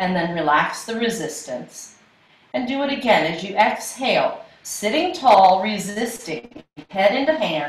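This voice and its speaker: Speaking at a fairly slow pace, a woman is heard. Audible room echo surrounds her voice. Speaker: yoga instructor. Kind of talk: class instruction. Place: home room. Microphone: camera far.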